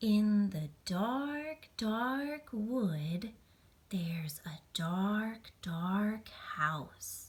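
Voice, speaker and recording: Whispering in a put-on character voice, a woman speaks at a very slow pace. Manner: whispering, spooky.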